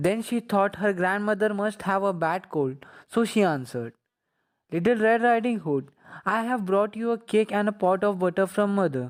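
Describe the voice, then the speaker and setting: Someone speaks at a moderate pace in an Indian accent, in a very clean recording with a silent background. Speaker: college student. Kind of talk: children's story narration.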